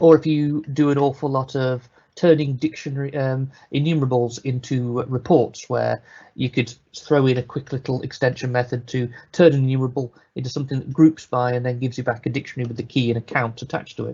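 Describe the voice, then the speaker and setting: A somewhat breathy voice with a British accent, very fast pace and monotone, flat intonation. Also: man, medium pitch for a man. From Britain. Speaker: software developer, conference speaker. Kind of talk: technical presentation. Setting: live online webinar. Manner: casual, conversational.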